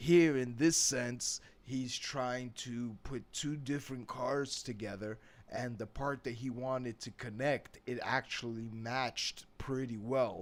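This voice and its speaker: At a very slow pace, a man with a New York accent talks at a medium pitch with fairly even intonation. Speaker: English teacher. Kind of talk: tutorial. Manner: casual, conversational.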